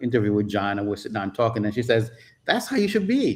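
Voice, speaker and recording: A man speaks with a Jamaican accent. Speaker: photographer and travel YouTuber. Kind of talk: casual chat. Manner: speeds up and slips into patois when excited.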